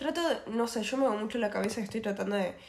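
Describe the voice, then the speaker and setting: A woman uses a normal speaking voice with a fairly high pitch and ordinary pitch variation. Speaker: podcast co-host. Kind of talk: casual chat.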